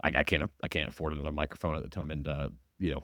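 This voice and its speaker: A man's very deep, low voice with vocal fry, dry and close with no echo, in a very clean recording with a silent background. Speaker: podcast host. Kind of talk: casual monologue. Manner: hesitant, many fillers; sounds stiff and formal.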